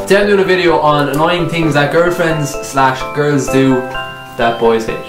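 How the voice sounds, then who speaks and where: Speaking at a moderate pace with an Irish accent, a man uses a fairly high pitch and ordinary pitch variation while clear music plays in the background. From Ireland. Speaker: YouTuber. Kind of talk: casual comedy sketch to camera. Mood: joking, playful complaining. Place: home room. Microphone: camera far.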